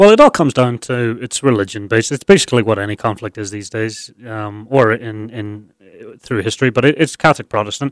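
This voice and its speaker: A man with a Northern Irish accent, medium pitch, fairly even intonation, a fairly quick pace and big swings in loudness, in a very clean recording with a silent background and a dry, close sound with no echo. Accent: Northern Irish (Belfast). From Northern Ireland, Belfast. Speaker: guest sharing life story. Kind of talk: interview. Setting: studio.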